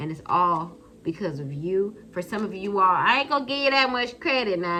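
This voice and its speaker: A woman's medium-pitched voice at a moderate pace, with very wide pitch swings and noticeable background noise. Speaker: tarot card reader. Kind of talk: tarot reading. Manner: animated.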